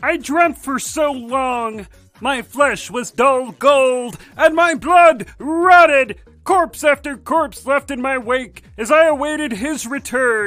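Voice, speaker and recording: Over music in the background, a man does a put-on character voice at an extremely high pitch. He speaks at a fairly slow pace. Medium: voice reel.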